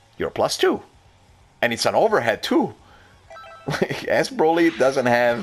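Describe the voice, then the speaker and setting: Music sits in the background as a man talks at a fairly slow pace, leaving long, frequent pauses. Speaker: fighting game player. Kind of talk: gameplay commentary. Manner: hesitant, stuttering.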